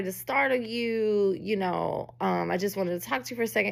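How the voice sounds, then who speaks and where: A woman speaks at a fairly slow pace in an animated, bright and sharp tone. The recording is very clean, with a silent background. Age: 40s. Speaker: podcast host. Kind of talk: casual storytelling monologue.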